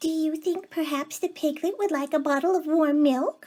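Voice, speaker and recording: A squeaky, put-on character voice from a woman, extremely high in pitch, with fairly even intonation, very even loudness and a moderate pace. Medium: read story. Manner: gentle, helpful.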